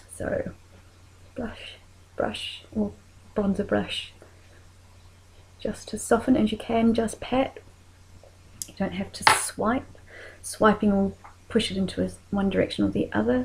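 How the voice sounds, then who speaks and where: With a New Zealand accent, a woman speaks at a fairly slow pace, leaving long, frequent pauses. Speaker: makeup tutorial creator. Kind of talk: tutorial.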